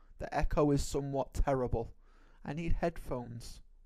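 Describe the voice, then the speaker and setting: A man speaks with a British accent. His intonation is fairly even. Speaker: podcast co-host. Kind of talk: casual chat.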